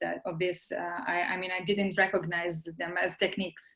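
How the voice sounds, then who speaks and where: Bright, sharp tone from a woman at medium pitch, fairly quick pace and monotone, flat intonation. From Serbia. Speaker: translation student. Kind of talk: casual chat. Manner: halting.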